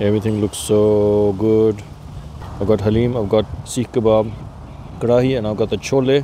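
Over faint background noise, a man speaks at a moderate pace in a fairly low pitch, with a dark, mellow tone and little pitch movement.

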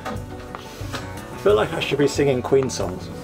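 A man speaks slowly with vocal fry at a medium pitch, his voice swinging widely up and down, over clear background music.

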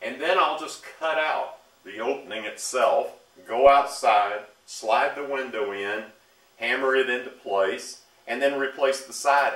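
Audible room echo surrounds the speaker. He is a man with ordinary pitch variation. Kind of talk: tutorial. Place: garage. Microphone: camera far.

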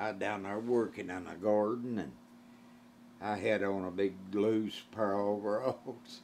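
Over light background noise, a man talks at a fairly slow pace in an Appalachian accent. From Eastern Kentucky, Appalachia. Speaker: old-time musician. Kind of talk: storytelling interview answer. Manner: humorous, folksy. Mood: amused, joking. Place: home room.

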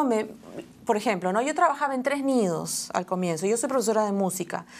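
This woman has a fairly high voice. She speaks with lively intonation. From Peru, Lima (Barranco); Peru. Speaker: children's singer and music teacher; music teacher. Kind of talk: interview. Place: studio.

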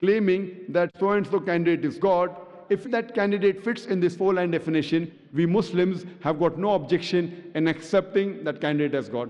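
Over a quiet background, a man speaks at a fairly quick pace. His pitch is high. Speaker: public lecturer. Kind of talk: lecture. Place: hall. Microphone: podium.

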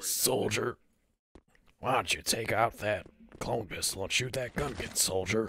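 In a raspy put-on character voice, the speaker keeps a moderate pace and fairly even intonation. Long, frequent pauses break up the delivery. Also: man, medium pitch for a man. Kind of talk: military drill-style address. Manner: commanding, gruff.

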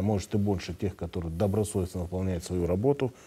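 With a dark, mellow tone, a man speaks at a very deep, low pitch and with fairly even intonation. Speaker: regional health minister. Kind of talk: live TV call-in Q&A. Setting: TV studio. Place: studio. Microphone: lapel.

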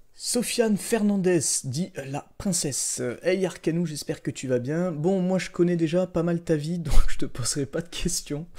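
A man speaks at a fairly slow pace in a dark, mellow tone with a high pitch. His pitch varies an ordinary amount, and the background is quiet. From southern France. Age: 20s. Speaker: gaming youtuber; gaming YouTuber. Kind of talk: casual chat. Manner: hesitant, many fillers. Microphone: studio mic.

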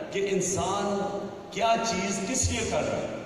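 A man speaks with ordinary pitch variation. Strong room echo and light background noise surround him. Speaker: guest. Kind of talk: public speech. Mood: earnest, storytelling about history. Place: hall. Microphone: pa.

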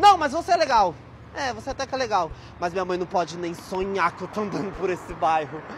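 A put-on, whiny character voice with a whiny, dramatic tone at a middle pitch and fairly quick pace, over clear background noise. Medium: comedy sketch. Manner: whiny, snobbish, dramatic.

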